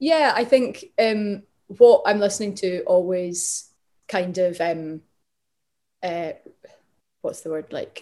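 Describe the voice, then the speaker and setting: A woman with a Glaswegian accent speaks at a very slow pace in a dark, mellow tone. Her loudness swings widely, her pitch varies in an ordinary way, and she leaves long, frequent pauses. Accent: Glaswegian Scottish. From Glasgow, Scotland. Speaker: singer-songwriter. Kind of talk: interview.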